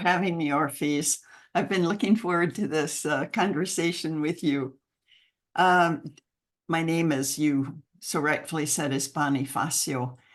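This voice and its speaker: With an American accent, a woman speaks in a normal speaking voice, fairly low in pitch, at a fairly slow pace with lively intonation against a quiet background. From United States. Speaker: mentoring program founder. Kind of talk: podcast interview. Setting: call.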